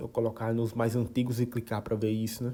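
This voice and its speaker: This voice is somewhat breathy. Its tone is dark and mellow. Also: man. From Brazilian Northeast. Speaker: podcaster. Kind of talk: casual monologue. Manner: halting, many repetitions.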